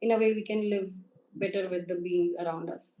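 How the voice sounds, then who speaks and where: With an Indian accent, a woman speaks at a medium pitch in a dark, mellow tone and fairly even intonation. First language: Hindi. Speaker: interview candidate. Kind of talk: mock job interview. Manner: formal.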